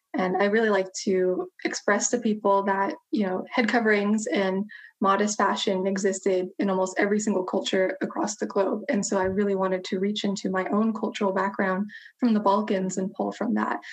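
A woman speaks at a moderate pace and medium pitch with fairly even intonation. It is an ordinary speaking voice. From United States. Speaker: historian and social media educator. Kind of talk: casual interview chat.

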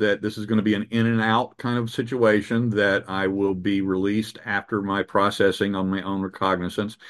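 A man's fairly low, monotone, flat voice at a fairly quick pace, with hardly any pauses over a quiet background. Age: 60s. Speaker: journalist. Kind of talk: interview. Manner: halting.

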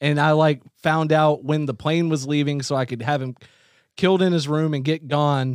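A man's fairly high-pitched, plain, everyday voice at a moderate pace with fairly even intonation, in a very clean recording with a silent background. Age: 30s. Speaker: podcast guest. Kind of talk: casual chat. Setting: in studio with host.

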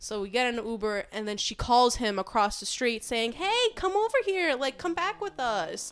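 A woman talks at a moderate pace in a high pitch, with very wide pitch swings and hardly any pauses. Background noise is noticeable. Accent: American. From New York City, Queens. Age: 20s. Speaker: podcast guest. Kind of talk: casual chat.

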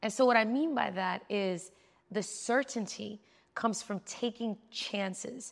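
In a New York accent, a woman with a fairly high pitch speaks at a very slow pace and fairly even intonation. The recording is very clean and the background silent. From New York City. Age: 40s. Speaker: tech entrepreneur. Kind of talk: casual interview.

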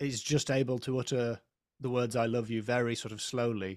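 A man with an English accent speaks at a fairly slow pace and a medium pitch, in a dry, close sound with no echo on a very clean recording with a silent background. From England. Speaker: comedian. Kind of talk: casual chat.

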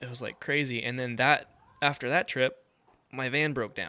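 A man's medium-pitched voice with vocal fry and a bright, sharp tone. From New Mexico. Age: 20s. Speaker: mountain bike magazine tester. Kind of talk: casual chat.

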